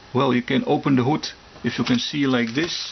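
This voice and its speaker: A man talks over noticeable background noise. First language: German. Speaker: scale model hobbyist YouTuber. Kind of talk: casual product review. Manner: halting, many fillers and restarts.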